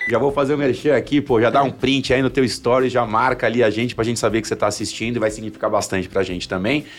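A man of medium pitch talks at a very fast pace with hardly any pauses, fairly even intonation and very even loudness. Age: 40s. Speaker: marketing executive. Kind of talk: casual chat.

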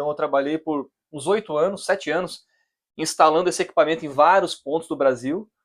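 A man with a plain, everyday voice speaks at a moderate pace and a fairly high pitch. His pitch varies in an ordinary way against a quiet background. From Brazil, Criciúma, Santa Catarina. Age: 30s. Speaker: oceanographer. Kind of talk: casual chat.

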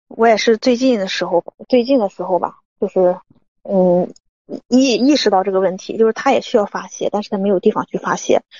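The voice is quiet, moving at a fairly quick pace with ordinary pitch variation. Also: woman, fairly high pitch for a woman. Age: 30s. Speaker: caller seeking marriage advice. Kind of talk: phone-in advice call. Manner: halting, many fillers; quiet, muffled.

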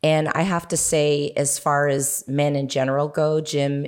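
On a very clean recording with a silent background, a woman speaks with a Canadian accent. Her pitch is very deep and low. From Canada (Toronto). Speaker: educator. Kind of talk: casual interview.

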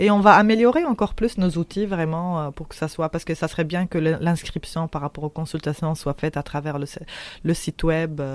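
A woman's fairly low pitch at a moderate pace, with ordinary pitch variation. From Tunisia. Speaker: anti-racism activist. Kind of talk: interview. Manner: halting.

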